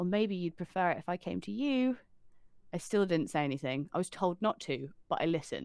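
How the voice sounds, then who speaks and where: A woman with an unremarkable speaking voice talks at a fairly quick pace, her fairly low pitch carried by lively intonation. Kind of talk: ghost story telling, reading aloud a first-person account.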